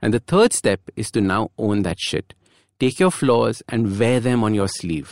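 The recording is very clean and the background silent. A man talks fairly slowly. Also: dry, close sound with no echo. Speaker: habit coach and podcast host. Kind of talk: solo motivational podcast monologue.

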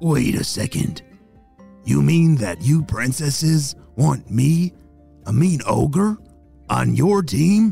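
Over faint background music, a man uses a put-on character voice. It is fairly high in pitch and very slow. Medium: read story. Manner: gruff.

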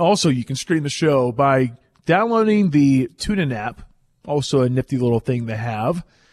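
A man's fairly high-pitched voice with lively intonation, in a dry, close sound free of echo. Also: moderate pace. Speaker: radio host. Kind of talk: live sports radio talk show. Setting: studio. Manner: animated, upbeat.

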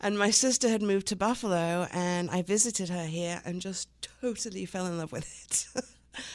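With an English accent, a woman speaks at a moderate pace with a fairly low pitch and ordinary pitch variation. The very clean recording has a silent background. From England. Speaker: small business owner, former makeup artist. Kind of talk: radio interview.

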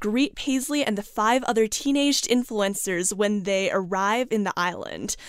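A woman speaks in a normal speaking voice at a moderate pace. Her fairly high pitch shows ordinary variation. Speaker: summer intern, book reviewer. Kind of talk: interview about a book.

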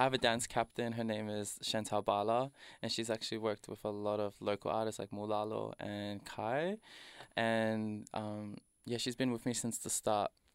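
Fairly low male voice in an Australian accent, monotone and flat at a moderate pace, dry and close with no echo in a very clean recording with a silent background. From Melbourne's south-east suburbs, Australia. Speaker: hip-hop artist. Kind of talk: interview. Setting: studio.

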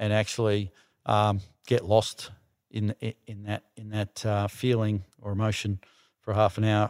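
The recording is very clean, with a silent background. A man with fairly low pitch speaks in an Australian accent. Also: dry, close sound with no echo. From Melbourne western suburbs, Australia. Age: 60s. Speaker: surfing industry entrepreneur. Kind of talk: casual chat. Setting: studio with small audience.

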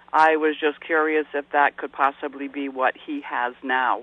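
At a moderate pace, a man with an American accent speaks in a normal speaking voice, pitched fairly high. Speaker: caller. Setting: phone call.

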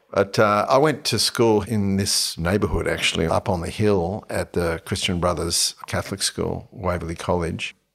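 A man speaks with a fairly low pitch. He has an Australian accent. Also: ordinary pitch variation, moderate pace, hardly any pauses. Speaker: entrepreneur. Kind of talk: casual chat. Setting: host's home studio. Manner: animated.

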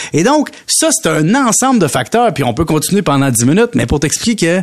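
A man with a Quebec accent talks at a moderate pace with a fairly high pitch and very wide pitch swings. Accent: Québécois French. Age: 40s. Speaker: radio economics columnist. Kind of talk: radio chronicle, casual chat with host.

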